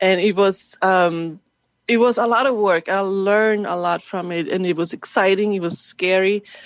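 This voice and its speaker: With a German accent, a woman speaks in fairly even intonation. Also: medium pitch for a woman, moderate pace. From Germany. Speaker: actress and filmmaker. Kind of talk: interview. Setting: webcast.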